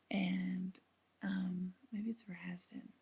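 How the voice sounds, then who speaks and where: A woman speaks at a very slow pace. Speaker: law student video blogger. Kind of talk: video diary. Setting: apartment at night. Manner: speaking quietly; hesitant, many fillers.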